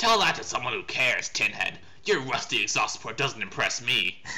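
Over clear music in the background, a man performs a put-on character voice. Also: moderate pace. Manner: brash, eager.

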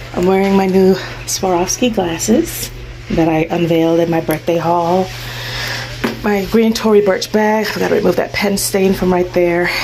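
At a moderate pace, a woman talks with fairly even intonation over light background noise. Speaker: vlogger. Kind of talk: casual vlog chat. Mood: cheerful, relaxed. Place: shop. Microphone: phone near.

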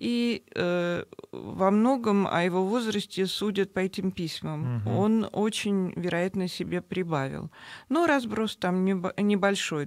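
A woman at a very slow pace and very even loudness, dry with no echo, over a quiet background. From Moscow, Russia; Russia. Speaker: novelist; guest. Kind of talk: radio interview. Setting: radio studio. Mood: calm, engaged storytelling. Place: studio. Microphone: studio mic.

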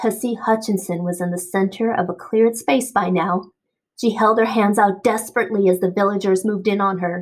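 Nothing much is heard behind the voice; the background is quiet. The reading voice is natural.

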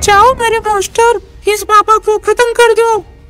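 A put-on character voice, female-sounding and extremely high-pitched, monotone and flat at a moderate pace, with clear music in the background. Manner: domineering, menacing.

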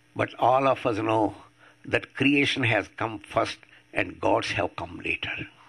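Speaking with an Indian accent at a fairly slow pace, a man uses a medium pitch, ordinary variation and a bright, sharp tone. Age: 80s+. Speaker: atheist activist. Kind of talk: public talk. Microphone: podium.

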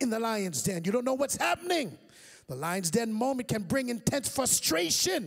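With lively intonation, the speaker reads in an unforced reading voice.

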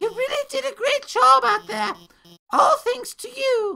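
This is a female-sounding voice. It is a put-on character voice. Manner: eager, then shy and self-deprecating.

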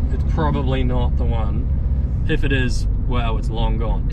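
Loud background noise is present. Over it, a man talks. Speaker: machinery restorer vlogger. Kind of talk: casual vlog chat. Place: car. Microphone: phone near.

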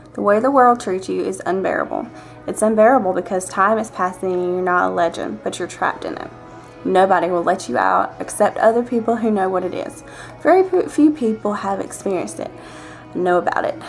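With a Southern US accent, a woman speaks at a fairly quick pace over faint music in the background. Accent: Southern US country. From Georgia, US. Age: 20s. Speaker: vlogger. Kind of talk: reading a book passage aloud. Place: home room. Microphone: webcam.

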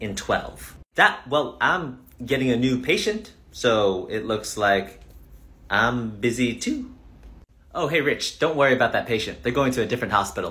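Speaking at a moderate pace, a man has a bright, sharp tone with vocal fry. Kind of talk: comedy skit dialogue. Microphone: phone near.

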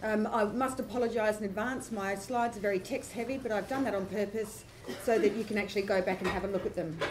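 A woman's very fast speech with fairly even intonation, over noticeable background noise. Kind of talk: conference presentation. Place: hall. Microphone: camera far.

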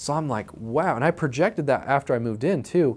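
Lively intonation from a man in an American accent. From Utah, US. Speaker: real estate investor. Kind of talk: personal story to camera. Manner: casual, repeats words. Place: office. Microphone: lapel.

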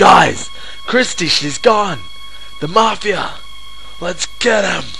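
Over clear background music, a man does a cartoonish character voice, high-pitched and very slow. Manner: slangy, brash.

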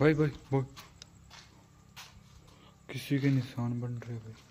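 In an audible room echo, a man with medium pitch and a dark, mellow tone speaks at a slow pace with fairly even intonation.

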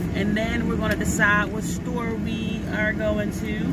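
A woman's voice comes through dry, with no echo, over loud background noise. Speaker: vlogger. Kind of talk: casual vlog chat. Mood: excited, chatty. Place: car. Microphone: phone near.

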